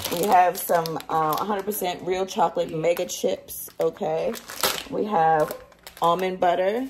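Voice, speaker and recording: At a fairly slow pace, a woman uses an ordinary speaking voice with a fairly low pitch and ordinary pitch variation over light background noise. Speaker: home cooking vlogger. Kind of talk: casual vlog chat. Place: kitchen. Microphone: phone near.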